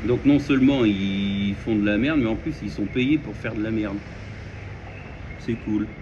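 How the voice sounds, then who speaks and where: A man speaks at a fairly slow pace with long, frequent pauses. His fairly low voice has ordinary pitch variation. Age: 30s. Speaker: vlogger. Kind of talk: casual monologue. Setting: at home. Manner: hesitant, many fillers.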